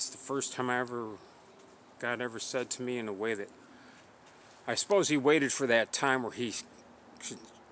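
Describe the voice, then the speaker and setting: A man speaks at a moderate pace. His voice sits at a medium pitch with ordinary pitch variation. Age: 60s. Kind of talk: religious testimony monologue. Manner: halting.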